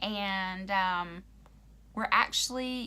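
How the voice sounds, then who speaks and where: In an American accent, a woman with a medium pitch and a bright, sharp tone speaks amid audible room echo. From Oklahoma. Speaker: YouTuber. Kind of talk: casual chat. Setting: livestream. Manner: halting, many ums and pauses.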